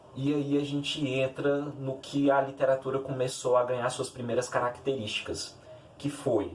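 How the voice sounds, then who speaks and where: Noticeable background noise behind a man at medium pitch, moderate pace, monotone, flat delivery. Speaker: literature youtuber. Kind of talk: educational video. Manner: halting, self-correcting.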